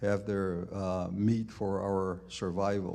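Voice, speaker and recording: With an American accent, a man speaks in a dark, mellow tone at a fairly low pitch. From Zuni reservation, New Mexico, USA. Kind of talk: live conference presentation.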